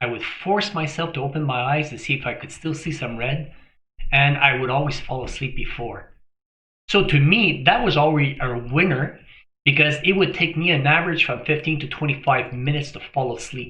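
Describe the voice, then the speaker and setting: A man with a fairly high, bright, sharp voice talks at a moderate pace with ordinary pitch variation and big swings in loudness, and room echo is audible. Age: 60s. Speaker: health vlogger. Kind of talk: casual talk to camera.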